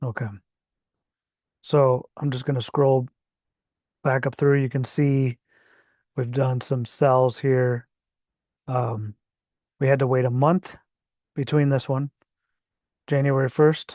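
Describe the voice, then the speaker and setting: A man speaks at a very slow pace with long, frequent pauses, in a dark, mellow tone with monotone, flat intonation and a dry, close sound with no echo. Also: medium pitch for a man, quiet background. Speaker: crypto trading channel host. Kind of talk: screen-share tutorial. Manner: hesitant, many fillers.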